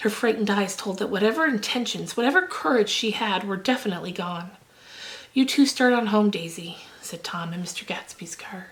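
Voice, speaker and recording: A soft-spoken woman talks at a fairly quick pace, at a medium pitch with ordinary pitch variation and a gentle, soothing tone. Her loudness swings widely, and there is noticeable background noise. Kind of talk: audiobook-style reading of a novel. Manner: soft, gentle, soothing.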